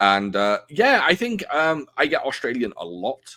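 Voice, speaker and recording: A man is speaking. His tone is bright and sharp. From North Wales, Prestatyn. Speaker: podcast host. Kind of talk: casual chat.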